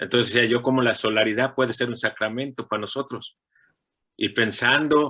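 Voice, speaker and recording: The tone is bright and sharp, with fairly even intonation at a fairly quick pace. The recording is very clean, with a silent background. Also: man, medium pitch for a man. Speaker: parishioner, church volunteer. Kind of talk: testimony.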